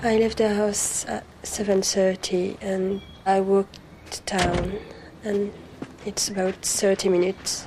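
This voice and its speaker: A woman with a French accent speaks fairly slowly in a flat monotone over noticeable background noise. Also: medium pitch for a woman. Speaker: crime victim, au pair. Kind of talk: testimony.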